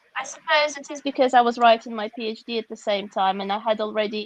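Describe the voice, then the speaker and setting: A woman with a Russian accent talks at a fairly quick pace. Her voice is fairly high, with ordinary pitch variation. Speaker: author and educator. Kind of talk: interview.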